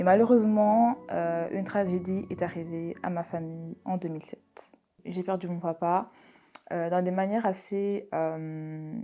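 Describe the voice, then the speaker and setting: A woman speaks in a dark, mellow tone at a medium pitch. Her pace is fairly slow and her intonation fairly even. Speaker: vlogger. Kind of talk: personal testimony.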